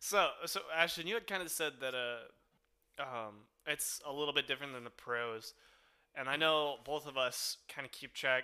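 This man's voice sits fairly high and has a bright, sharp tone. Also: ordinary pitch variation, moderate pace. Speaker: podcast host. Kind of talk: casual chat.

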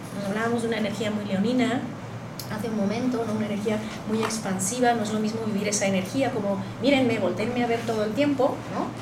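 Amid noticeable background noise and audible room echo, a woman with a fairly high pitch talks at a very fast pace in a monotone, flat way. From Spain. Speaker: astrology teacher and alternative therapist. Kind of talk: panel discussion on astrology.

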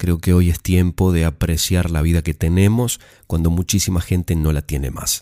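A man's very deep, low pitch and dark, mellow tone at a moderate pace, with fairly even intonation, in a very clean, dry, close recording with no echo and a silent background. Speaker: storyteller podcast host. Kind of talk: personal reflection; reading aloud.

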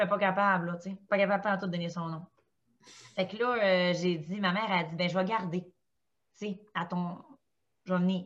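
In a Quebec accent, a woman speaks at a moderate pace with monotone, flat intonation and long, frequent pauses. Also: medium pitch for a woman. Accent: Québécois French. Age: 30s. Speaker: stay-at-home mother of four. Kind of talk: casual chat.

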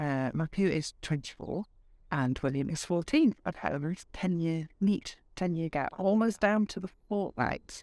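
Someone with a Yorkshire accent speaks at a moderate pace in a very clean recording with a silent background. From Yorkshire, northern England. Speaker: speaker coach. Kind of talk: casual interview. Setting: at her home.

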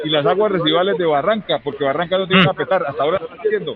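Over noticeable background noise, a man with a high pitch talks at a very fast pace in an animated tone with ordinary pitch variation. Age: 50s. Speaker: trade union leader. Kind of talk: interview.

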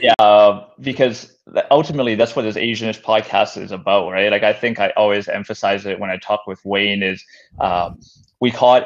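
A man with a plain, everyday voice talks fairly quickly at a fairly low pitch over a quiet background. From Canada, North Vancouver. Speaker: podcast host. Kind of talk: interview.

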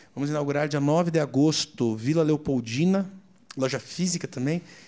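With a Curitiba accent, a man talks at a moderate pace in a fairly high, dark and mellow voice with ordinary pitch variation. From Curitiba, southern Brazil. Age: 30s. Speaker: restaurant franchise owner. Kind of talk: casual interview.

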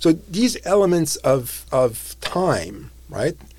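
A man speaks with a somewhat breathy voice and lively intonation. The recording is very clean, with a silent background. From Europe. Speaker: political science professor. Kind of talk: interview. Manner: halting.

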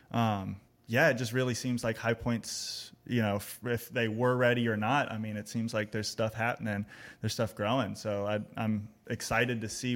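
With an American accent, a man speaks at a moderate pace and medium pitch in a flat monotone, on a very clean recording with a silent background. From Texas, Austin. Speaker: songwriter and music educator. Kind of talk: casual chat.

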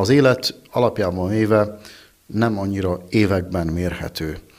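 Over noticeable background noise, a man with a very deep, low voice speaks with fairly even intonation. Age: 40s. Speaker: winemaker. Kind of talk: interview.

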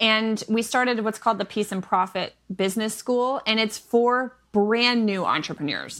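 A woman with an unremarkable speaking voice and fairly high pitch talks at a moderate pace with hardly any pauses. Her intonation is fairly even. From Michigan, US Midwest. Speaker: online business coach and homeschooling mother. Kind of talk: casual interview chat. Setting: remote podcast recording.

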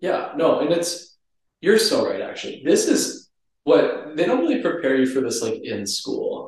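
A man is speaking at a moderate pace. Audible room echo surrounds his voice. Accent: American. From Minnesota. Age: 20s. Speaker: pharmacy student. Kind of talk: casual chat.

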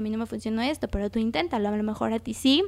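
Speaking very fast with a Mexican accent, a woman has a fairly high pitch and ordinary pitch variation. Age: 20s. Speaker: podcast host and graphic designer. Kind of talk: casual solo podcast talk. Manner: conversational.

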